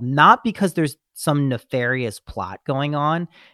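At a fairly slow pace, a man speaks in a bright, sharp tone. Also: dry, close sound with no echo. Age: 30s. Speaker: podcast host, guest. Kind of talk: casual chat.

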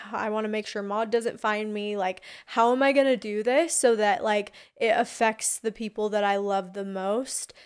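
Recorded very cleanly against a silent background, a woman speaks in a normal speaking voice at a moderate pace, with a fairly high pitch and fairly even intonation. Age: 20s. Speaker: reality tv personality. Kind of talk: casual chat.

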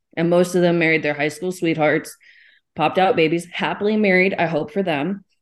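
A woman with a normal speaking voice, fairly low-pitched, fairly even in intonation and fairly quick in pace. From Texas, small town. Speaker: expectant single mother. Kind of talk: casual chat.

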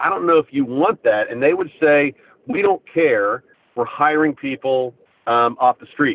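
His voice fairly high with lively intonation, a man speaks at a fairly slow pace with big swings in loudness. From US, southern Ohio (Appalachia). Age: 50s. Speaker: business founder. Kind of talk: interview. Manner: halting, many fillers and repeats.

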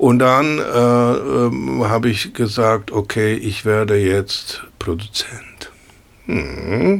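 A man speaks at a very slow pace with a medium pitch. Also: ordinary pitch variation. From Poland, Kraków. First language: Polish (speaking German). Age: 60s. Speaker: jazz pianist. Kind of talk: casual chat. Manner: halting.

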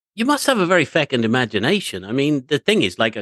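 Against a quiet background and a dry, close sound with no echo, a man with a fairly high pitch talks at a fairly quick pace, using very wide pitch swings and vocal fry. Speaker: radio host. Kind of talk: interview.

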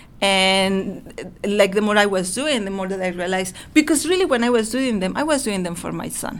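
In a Mexican accent, a woman speaks at a moderate pace and medium pitch with lively intonation. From Mexico. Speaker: author and illustrator. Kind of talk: casual interview. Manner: halting, with repeated words.

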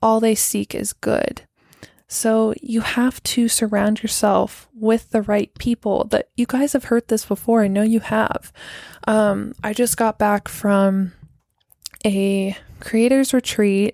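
At a very slow pace, a woman with a fairly high pitch speaks in a dark, mellow tone and monotone, flat intonation. The recording is very clean, with a silent background and a dry, close sound with no echo. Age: 30s. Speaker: podcast host. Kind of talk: casual solo podcast talk. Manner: casual, filler-heavy with laughs.

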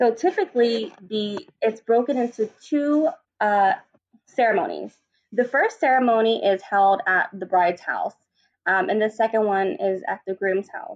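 A woman's fairly high-pitched, a normal speaking voice, with lively intonation at a moderate pace. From US, Vietnamese American family. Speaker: wedding planner. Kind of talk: interview.

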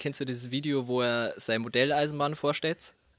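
A man's plain, everyday voice at a medium pitch, with fairly even intonation and a fairly quick pace, dry and close with no echo. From Bavaria, rural dialect area. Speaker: music producer. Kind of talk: casual chat. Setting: studio.

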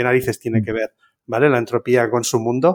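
A man talks fairly quickly on a very clean recording against a silent background. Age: 50s. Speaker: software engineer. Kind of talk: casual interview. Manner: animated.

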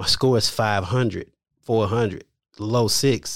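A man speaks in an ordinary speaking voice with an American accent, his pitch fairly low and his intonation fairly even. The recording is very clean, with a silent background. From Louisiana, then Houston, Texas. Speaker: credit repair specialist. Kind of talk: interview.

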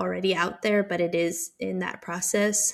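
A woman talks at a fairly slow pace. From Netherlands and US (North Carolina), moved at 12. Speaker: PhD student in immunology. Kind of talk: interview. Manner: energetic.

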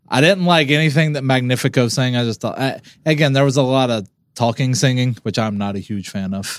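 Recorded very cleanly against a silent background, a man with an unremarkable speaking voice talks fairly quickly at a medium pitch, with ordinary pitch variation. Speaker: podcast co-host. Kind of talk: casual chat.

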